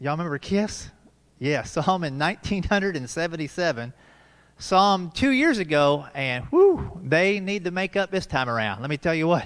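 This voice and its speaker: A man's high-pitched voice rises and falls with lively intonation. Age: 50s. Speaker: comedian. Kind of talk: stand-up. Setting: live stream from a church.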